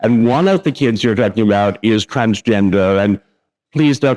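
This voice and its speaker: A man speaks at a medium pitch and a moderate pace. His intonation varies in an ordinary way, and the sound is dry and close with no echo. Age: 60s. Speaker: author and lecturer. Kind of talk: lecture. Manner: hesitant fillers.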